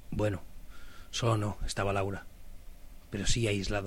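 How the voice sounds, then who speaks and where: A man speaks at a moderate pace with a fairly low pitch and a somewhat breathy quality. His intonation is monotone and flat. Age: 30s. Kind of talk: personal reflective monologue.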